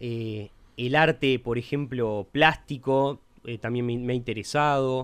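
A man's medium-pitched voice unfolds at a very slow pace. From Uruguay (Montevideo). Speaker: podcast co-host, lawyer. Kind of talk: casual chat.

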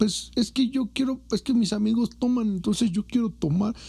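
Speaking with a Mexican accent, a man talks at a fairly quick pace. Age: 20s. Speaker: podcast host. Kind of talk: casual chat.

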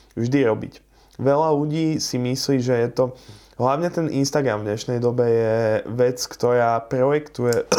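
A man talks at a moderate pace with a medium pitch. His tone is dark and mellow, and his intonation fairly even. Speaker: car salesman. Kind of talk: casual interview.

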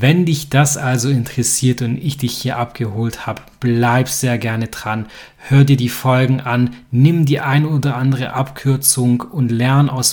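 Intonation stays flat and monotone throughout. A man talks at a fairly slow pace. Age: 30s. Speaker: podcast host. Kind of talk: podcast monologue.

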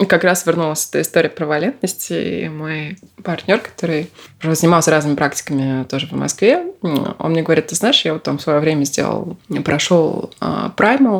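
This woman's pitch is very deep and low, with ordinary variation. Her pace is moderate. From Russia, Moscow. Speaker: podcast guest, self-discovery practitioner. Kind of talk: casual interview.

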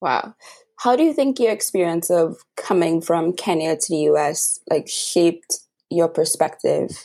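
A woman's fairly low, dark and mellow voice in a Trinidadian accent, at a fairly slow pace with ordinary pitch variation. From Trinidad and Tobago. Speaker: podcast host. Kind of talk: casual interview.

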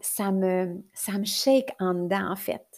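A woman with a Quebec accent on a very clean recording, silent background. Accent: Québécois French. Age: 40s. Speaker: life coach and podcaster. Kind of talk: personal monologue. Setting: recording at her computer.

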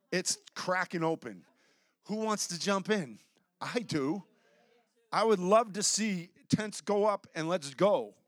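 A man speaks loudly at a high pitch with ordinary pitch variation. His pace is very slow, with long, frequent pauses. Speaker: pastor. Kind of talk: sermon. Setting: church.

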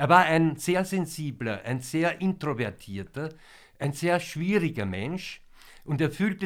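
A plain, everyday voice with lively intonation at a fairly slow pace, in a very clean recording with a silent background. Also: man. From Vienna, Austria. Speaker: concert introducer / music presenter. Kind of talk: pre-concert talk to an audience. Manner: formal.

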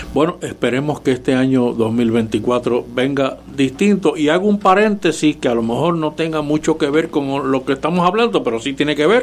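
Lively intonation at a moderate pace, with hardly any pauses, over noticeable background noise. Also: man, fairly high pitch for a man. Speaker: panelist. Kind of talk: casual panel talk on political radio. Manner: formal, hesitant, reflective.

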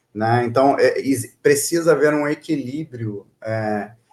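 A man's fairly high voice at a fairly slow pace. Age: 50s. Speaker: IT executive. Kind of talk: casual interview. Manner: halting, many fillers.

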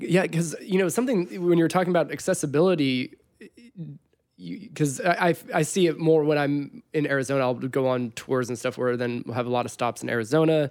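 An unremarkable speaking voice from a man with an American accent, fairly high in pitch, fairly quick, with lively intonation. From Southern California. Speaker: podcast host and musician. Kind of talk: casual chat.

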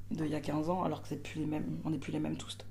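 Audible room echo rings around the voice. A woman talks very fast. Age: 30s. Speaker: performer and stage director. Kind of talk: casual interview. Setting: theatre dressing room.

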